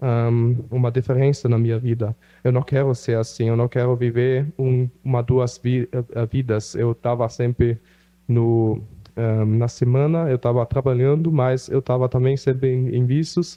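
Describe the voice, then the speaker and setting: A man with a German accent speaks fairly slowly at a medium pitch, his loudness very even and his intonation flat and monotone. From Brazil (Rondônia) and Germany. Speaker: missionary. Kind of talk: testimony. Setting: church. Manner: halting, many fillers.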